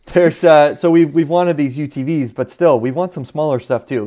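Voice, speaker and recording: A man speaks with an American accent in a dark, mellow tone. His pitch varies in an ordinary way. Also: very clean recording, silent background. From US Southwest. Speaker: off-road podcast co-host. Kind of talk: casual chat. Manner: animated.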